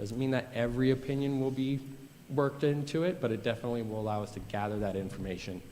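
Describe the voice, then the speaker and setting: Very fast delivery from a man, pitch varying in an ordinary way. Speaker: school facilities administrator presenting to board. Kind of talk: board meeting presentation. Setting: board meeting.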